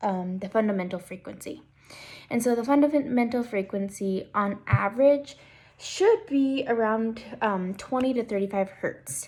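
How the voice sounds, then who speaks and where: At a fairly slow pace, a somewhat breathy voice delivers the words. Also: woman, fairly high pitch for a woman, ordinary pitch variation. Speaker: student presenting a class assignment. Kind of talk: tutorial.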